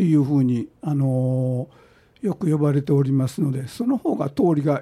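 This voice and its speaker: Somewhat breathy with a dark, mellow tone, a man speaks at a fairly high pitch and a moderate pace. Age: 70s. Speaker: Shinto shrine chief priest. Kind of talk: radio interview. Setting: radio studio. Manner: halting, many fillers.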